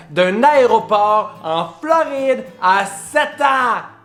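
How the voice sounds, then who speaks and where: Amid noticeable background noise, a man with a Quebec accent speaks with very wide pitch swings. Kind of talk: casual storytime to camera. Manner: animated, humorous.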